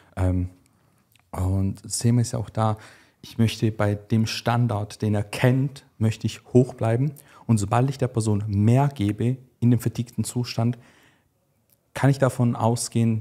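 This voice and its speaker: A man at medium pitch talks at a moderate pace in a dark, mellow, somewhat breathy tone, with fairly even intonation, long and frequent pauses, big swings in loudness, and a quiet background. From Switzerland. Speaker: bodybuilding coach. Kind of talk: casual chat. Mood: calm, explanatory. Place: studio. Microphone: studio mic.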